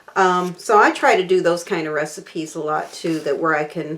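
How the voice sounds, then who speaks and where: Noticeable background noise behind a woman's voice in an American accent. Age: 60s. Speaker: cooking channel host. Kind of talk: casual chat to camera. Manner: halting, many fillers.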